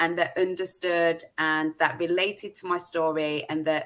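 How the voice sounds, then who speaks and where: A woman speaks in a British accent with a bright, sharp tone. Her intonation is monotone and flat, and her pace is moderate. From UK. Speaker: social media marketing expert. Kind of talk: interview chat.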